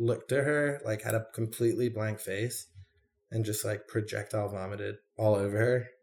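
This man's voice is somewhat breathy, with a medium pitch. He talks at a moderate pace. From London area, moved to Detroit at ten. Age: 30s. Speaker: artist and bartender in recovery. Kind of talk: interview, personal testimony. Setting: at his apartment.

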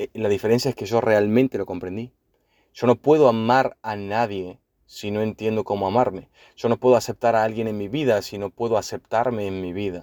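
This man speaks fairly quickly at a medium pitch, his tone dark and mellow. The sound is dry and close, with no echo. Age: 30s. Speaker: podcaster. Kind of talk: personal monologue. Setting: in a car.

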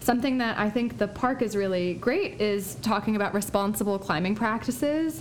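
With audible room echo, a woman speaks at a medium pitch. Her pace is moderate and her pitch variation ordinary. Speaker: podcast host. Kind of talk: casual chat.

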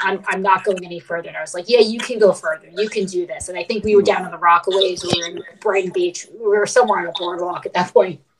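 A woman's medium-pitched voice with an American accent at a very fast pace. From New York, Brooklyn. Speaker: ultramarathon runner. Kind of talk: casual chat. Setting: video call.

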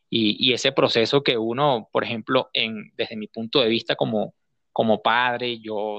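This man has a medium pitch and a fairly slow pace. His intonation stays fairly even. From Venezuela, Guárico state. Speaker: journalist, correspondent. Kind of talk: interview. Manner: halting, many repetitions.

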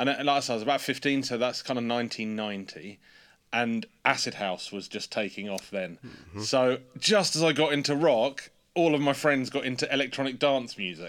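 A man with an English accent, medium pitch and lively intonation at a moderate pace, on a very clean recording with a silent background. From England. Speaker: pedal company designer and marketer. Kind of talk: casual interview chat.

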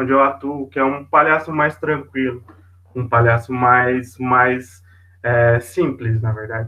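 Here is an unremarkable speaking voice. A man at medium pitch talks at a fairly slow pace. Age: 20s. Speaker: volunteer hospital clown. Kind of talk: casual interview.

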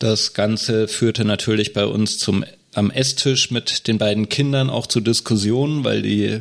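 At a fairly slow pace, a man with a plain, everyday voice speaks at medium pitch with fairly even intonation. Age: 30s. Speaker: state election candidate, deacon and nurse. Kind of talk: casual podcast discussion.

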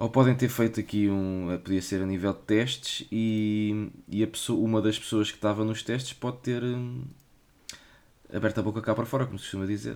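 Fairly low in pitch and fairly even in intonation, a man talks at a moderate tempo. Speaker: podcast host. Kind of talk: casual chat.

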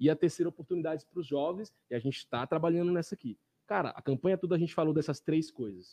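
A man speaks at a very fast pace. His tone is dark and mellow, with ordinary pitch variation. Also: fairly high pitch for a man, dry, close sound with no echo. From Brazil, Pará (Jacundá). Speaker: city councillor. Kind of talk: casual interview. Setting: small studio, live stream.

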